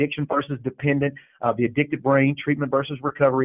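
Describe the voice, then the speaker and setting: The man's pitch is fairly high. He speaks at a fairly quick pace. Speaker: state faith-based initiative director. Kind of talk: webinar presentation. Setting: webinar. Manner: fast.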